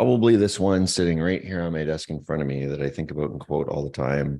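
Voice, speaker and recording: A man talks with a Canadian accent. His pitch is very deep and low, his tone dark and mellow. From eastern Canada (Moncton, New Brunswick). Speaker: tech entrepreneur. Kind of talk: interview.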